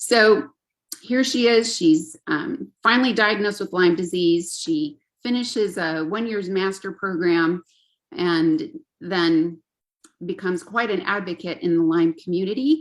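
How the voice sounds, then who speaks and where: This is an unremarkable speaking voice with lively intonation, moving at a fairly slow pace. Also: woman, medium pitch for a woman. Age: 60s. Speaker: parent and Lyme disease advocate. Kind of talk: webinar talk.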